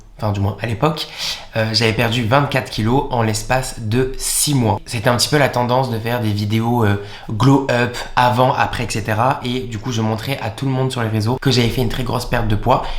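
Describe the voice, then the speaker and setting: A man talks at a fairly quick pace in a monotone, flat intonation. There is audible room echo and noticeable background noise. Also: medium pitch for a man. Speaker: YouTuber. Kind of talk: confessional vlog. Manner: halting, with many repeated words.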